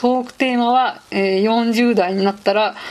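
An ordinary speaking voice belongs to a woman who talks at a fairly slow pace with fairly even intonation. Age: 30s. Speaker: podcast host, office worker. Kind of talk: casual solo monologue. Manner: casual, frequent fillers.

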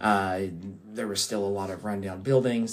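In an American accent, a man talks at a moderate pace with a fairly low pitch and fairly even intonation. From US South, Appalachia (southwest Virginia). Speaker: podcast co-host. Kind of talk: casual chat. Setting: in person at co-host's home.

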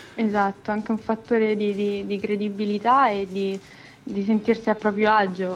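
Over music in the background, a woman speaks at a moderate pace. Her pitch sits in the middle range, and her intonation is monotone and flat. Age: young. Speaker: singer-songwriter. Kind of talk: casual interview.

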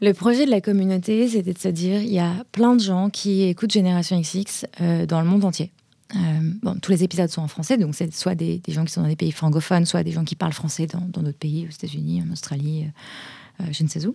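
Somewhat breathy, a woman speaks at a fairly quick pace and fairly low pitch. Her dark, mellow tone shows ordinary pitch variation. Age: 30s. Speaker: podcast founder and entrepreneur. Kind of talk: interview. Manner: hesitant, many repetitions.

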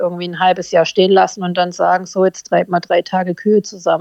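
A woman talking at a very fast pace. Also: dry, close sound with no echo. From southern Germany, Tübingen. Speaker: dog breeder and herder. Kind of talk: casual interview.

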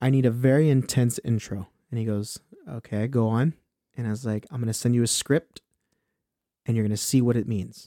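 Speaking in a Southern California accent, a man has a medium pitch and a dark, mellow tone, with ordinary pitch variation and a fairly quick pace broken by long, frequent pauses. The sound is dry and close, with no echo. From Inland Empire, Southern California. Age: 20s. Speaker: musician and rapper. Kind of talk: casual chat.

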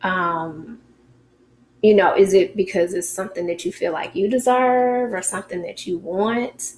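In an American accent, a woman with an unremarkable speaking voice talks at a fairly slow pace and medium pitch, with ordinary pitch variation and big swings in loudness. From United States. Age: 40s. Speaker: podcast host. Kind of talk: casual chat.

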